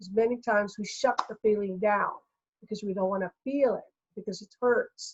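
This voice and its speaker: Her fairly high, somewhat breathy voice keeps fairly even intonation at a moderate pace, though this woman's loudness swings widely. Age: 60s. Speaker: energy healer. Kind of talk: interview.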